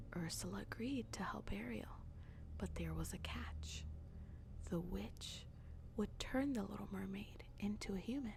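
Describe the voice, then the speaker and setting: Long, frequent pauses run through the speech. The voice is soft-spoken. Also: woman. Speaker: ASMR storyteller. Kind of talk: bedtime story reading.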